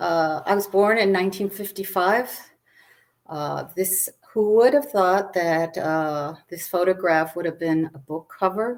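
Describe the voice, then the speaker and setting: With an American accent, a woman talks in a medium pitch. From Arizona, Tucson. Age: 60s. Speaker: author and historian. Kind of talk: presentation talk. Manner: halting, many fillers.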